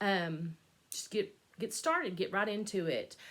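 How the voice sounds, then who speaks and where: At a moderate pace, the voice carries a bright, sharp tone. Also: woman. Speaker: cross stitch vlogger. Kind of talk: casual vlog chat. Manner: hesitant, many fillers.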